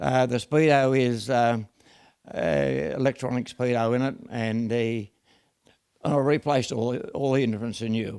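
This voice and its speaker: A man with an Australian accent talks at medium pitch and a moderate pace with ordinary pitch variation. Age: 90s. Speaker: car restorer. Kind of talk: casual chat. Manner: halting.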